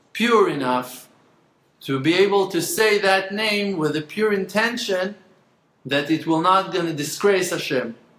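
A man's fairly slow speech, with audible room echo. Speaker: religious teacher. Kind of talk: lecture. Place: home room. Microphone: phone near.

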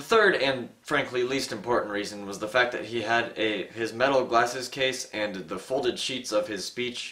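Here a man speaks at a moderate pace with hardly any pauses. His pitch variation is ordinary. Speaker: history video host. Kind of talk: comedic history commentary. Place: home room.

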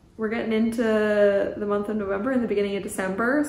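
Audible room echo surrounds a woman's voice. She talks at a moderate pace with a Canadian accent. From Canada. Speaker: knitting podcaster. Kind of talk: casual monologue. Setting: cabin by the ocean. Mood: cheerful, relaxed. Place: home room.

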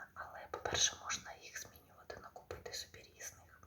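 A woman whispers at a moderate pace. There is noticeable background noise. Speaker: ASMR creator. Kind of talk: ASMR whisper roleplay, casual talk to a friend. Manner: whispered, soft, intimate.

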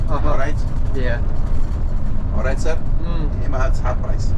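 Background noise is loud. Through it, a man talks. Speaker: tour guide on coach. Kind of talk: tour guide commentary. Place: bus.

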